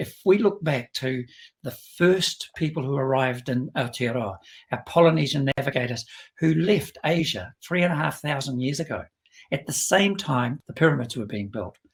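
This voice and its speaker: A somewhat breathy man with a New Zealand accent speaks at a moderate pace, his fairly high pitch carried by lively intonation. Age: 70s. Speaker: business executive. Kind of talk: interview.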